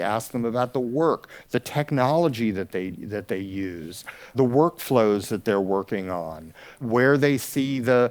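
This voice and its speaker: Speaking with an American accent, a plain, everyday voice moves at a fairly slow pace with ordinary pitch variation. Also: man. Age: 60s. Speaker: audio educator. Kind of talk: conference talk. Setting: stage with audience.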